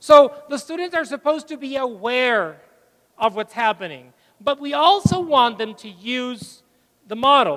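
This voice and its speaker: Spoken at a fairly slow pace in a Spanish accent, this voice has lively intonation and an animated tone. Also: man. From northern Mexico. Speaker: English teaching trainer, conference speaker. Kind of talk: conference plenary talk.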